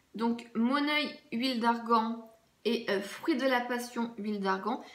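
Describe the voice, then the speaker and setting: A woman speaks at a fairly slow pace with a fairly high pitch. Audible room echo surrounds her voice. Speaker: beauty vlogger. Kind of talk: casual product review vlog.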